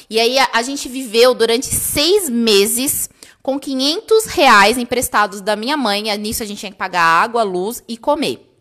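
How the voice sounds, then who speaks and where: A woman with a fairly high pitch and a bright, sharp tone, at a fairly slow pace with ordinary pitch variation and big swings in loudness, against a quiet background. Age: 30s. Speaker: stationery business owner and online course creator; online course creator. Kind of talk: casual live stream storytelling. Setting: live video stream. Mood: emotional, personal storytelling. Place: home room.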